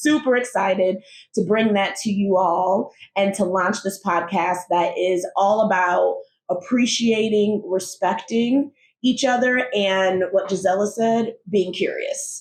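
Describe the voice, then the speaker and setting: Using an unremarkable speaking voice, a woman talks at a fairly slow pace and medium pitch with ordinary pitch variation. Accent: American. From United States. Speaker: podcast co-host. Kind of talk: casual conversation.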